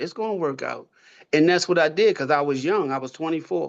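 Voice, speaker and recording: Speaking with an American accent, a man talks at a fairly high pitch with ordinary pitch variation. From Baltimore, Maryland (East Baltimore). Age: 60s. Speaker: funeral home owner. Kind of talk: personal story in virtual community meeting. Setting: video call. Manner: animated.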